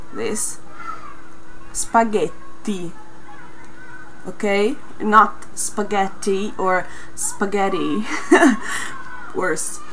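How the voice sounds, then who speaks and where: A woman with an Italian accent talks at a very slow pace, leaving long, frequent pauses. Her intonation stays fairly even over light background noise. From Italy. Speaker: Italian vlogger teaching pronunciation. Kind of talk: casual talk to camera. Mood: friendly, lightly amused. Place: home room. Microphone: webcam.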